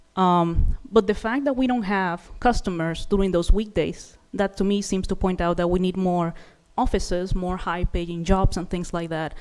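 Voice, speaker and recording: A woman with a non-native accent talks at a moderate pace, her medium pitch moving with ordinary variation. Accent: foreign. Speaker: resident giving public comment. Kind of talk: public comment at city meeting.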